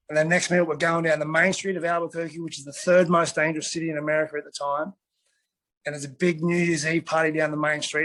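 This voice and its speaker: Delivered at a very fast pace in an Australian accent, a man's fairly high voice sounds bright and sharp, flat and monotone in intonation yet with big swings in loudness. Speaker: retired MMA fighter. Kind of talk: casual interview chat. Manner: mumbling.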